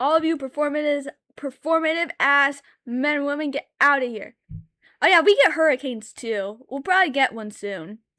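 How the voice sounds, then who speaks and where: A woman with a high pitch and a bright, sharp tone speaks in a raised, projected voice with big swings in loudness and ordinary pitch variation, the sound dry and close with no echo. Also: moderate pace. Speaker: streamer and artist. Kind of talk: casual live stream chat while drawing. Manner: loud, yelling at times; animated.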